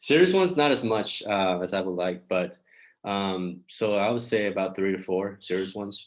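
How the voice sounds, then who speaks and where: A man talks in a plain, everyday voice, fairly low in pitch. His pace is moderate and his intonation fairly even. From China, moved around Europe as a child, US from age nine. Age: 20s. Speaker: dating coach. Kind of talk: interview.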